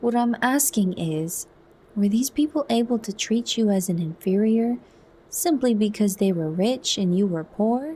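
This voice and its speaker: A soft-spoken, somewhat breathy woman at a medium pitch, dark and mellow in tone, at a fairly slow pace with ordinary pitch variation. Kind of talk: soft narrated audiobook reading, ASMR.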